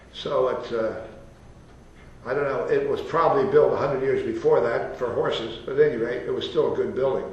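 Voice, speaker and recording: Behind the voice, background noise is noticeable. The man moves along at a fairly quick pace. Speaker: architect. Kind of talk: interview answer. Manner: hesitant, rambling.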